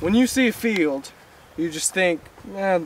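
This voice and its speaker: Ordinary pitch variation comes through a dry sound with no echo and light background noise. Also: man. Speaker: nature guide vlogger. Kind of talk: casual outdoor tutorial. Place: open country. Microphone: camera far.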